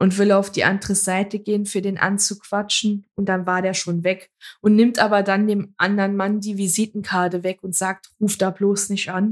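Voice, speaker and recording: A woman's medium-pitched voice, monotone and flat, at a moderate pace with hardly any pauses. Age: 20s. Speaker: podcast co-host. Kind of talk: casual chat.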